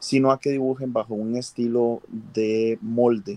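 The man's medium-pitched voice has a dark, mellow tone and a monotone, flat intonation. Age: 40s. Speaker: cosplayer. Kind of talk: casual chat. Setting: livestream.

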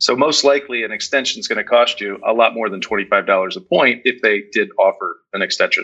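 Fairly quick delivery with hardly any pauses. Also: man. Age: 40s. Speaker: timeshare resale agent. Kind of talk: casual chat. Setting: video call.

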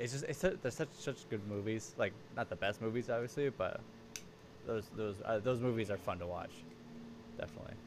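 A man talks at a fairly quick pace, with long, frequent pauses. Background noise is noticeable. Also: ordinary pitch variation. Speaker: podcast host. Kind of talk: casual chat. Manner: smooth.

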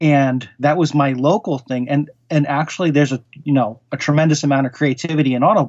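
Talking at a fairly quick pace in a plain, everyday voice, a man with an American accent has a fairly high pitch and ordinary pitch variation. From US Northeast, Connecticut (Norwalk). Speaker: horror writer. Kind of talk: interview conversation.

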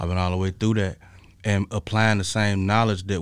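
A man with an American accent talks fairly quickly at a fairly low pitch, his intonation fairly even. It is an unremarkable speaking voice. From Chicago West Side. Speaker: art curator and fashion designer. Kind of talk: interview.

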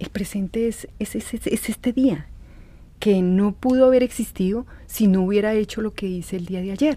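Calm and somewhat breathy, a woman speaks with a medium pitch, a dark, mellow tone and ordinary pitch variation. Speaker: podcast host. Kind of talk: reflective monologue. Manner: slow, calm; halting, with fillers and repeats.

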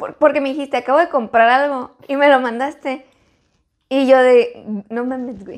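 With a high pitch and fairly even intonation, a woman talks at a moderate pace with big swings in loudness. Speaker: podcast co-host. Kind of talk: casual chat.

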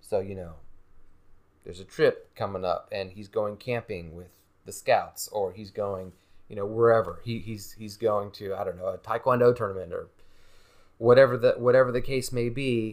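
With an American accent and a normal speaking voice, a man talks at a moderate pace and medium pitch, his intonation fairly even but his loudness swinging widely, on a very clean recording with a silent background. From North Carolina. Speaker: experienced father. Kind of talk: casual chat. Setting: home couch.

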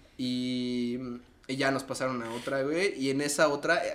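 A man's fairly high voice, with audible room echo and noticeable background noise. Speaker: podcast co-host. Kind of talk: casual chat.

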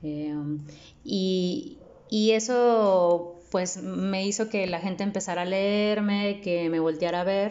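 A woman talks very slowly in a medium pitch, her pitch varying in an ordinary way. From Mexico, Nuevo León (Apodaca). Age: 30s. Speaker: poet. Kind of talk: interview. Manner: halting, with many repetitions and fillers.

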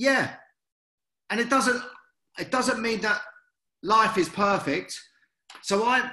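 Raising and projecting his voice, a man with a British accent speaks at a fairly slow pace in an energetic tone. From UK. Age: 50s. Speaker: former boxer and motivational speaker. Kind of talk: interview.

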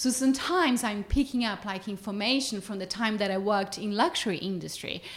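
A woman talks at a medium pitch with a Portuguese accent. Her voice is somewhat breathy, with ordinary pitch variation. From Brazil. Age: 30s. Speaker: nutrition company co-founder. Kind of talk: casual interview conversation.

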